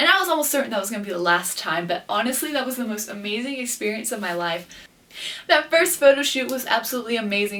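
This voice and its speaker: The pace of this woman's speech is very fast. There is noticeable background noise. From Guatemala, Quetzaltenango. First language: Spanish. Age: 20s. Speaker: beauty pageant queen and vlogger. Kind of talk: casual vlog talk to camera.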